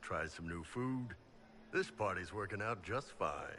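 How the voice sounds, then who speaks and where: Using a put-on character voice, a man speaks at a fairly slow pace in a fairly low, relaxed tone, with clear background noise behind him. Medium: video game. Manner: relaxed, jovial.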